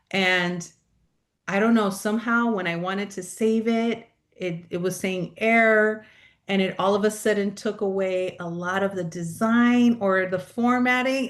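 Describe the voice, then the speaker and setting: At a fairly slow pace, a woman with a medium pitch speaks with fairly even intonation against a quiet background. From California, South Bay (Los Angeles area). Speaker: pastoral and mental health coach. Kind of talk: interview conversation. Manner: loud.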